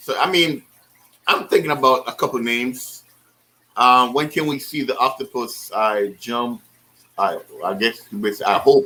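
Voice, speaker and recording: Using a bright, sharp tone at a medium pitch, a man speaks at a fairly slow pace with lively intonation and long, frequent pauses. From Caribbean islands. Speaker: aquarium hobbyist YouTuber. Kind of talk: casual chat. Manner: halting, many fillers.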